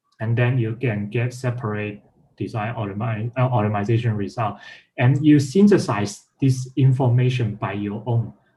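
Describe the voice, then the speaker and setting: The voice has a dark, mellow tone and a non-native accent. It sounds somewhat breathy, with ordinary pitch variation. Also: man, moderate pace. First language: not English. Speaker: workshop instructor; presenter. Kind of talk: technical tutorial; explanatory talk, lecture-like. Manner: halting, many fillers. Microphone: video call.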